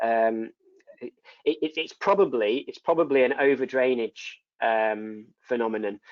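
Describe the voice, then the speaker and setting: In a northern English accent, a man talks at a medium pitch with ordinary pitch variation. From northern England. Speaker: neurosurgeon. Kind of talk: lecture Q&A. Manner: halting, many repetitions.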